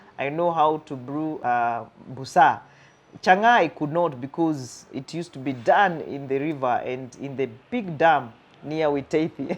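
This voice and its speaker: A woman with a Kenyan accent, very deep, low pitch, ordinary pitch variation and a moderate pace. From Kenya, Thika slum. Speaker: counseling psychologist. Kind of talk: interview storytelling. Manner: animated.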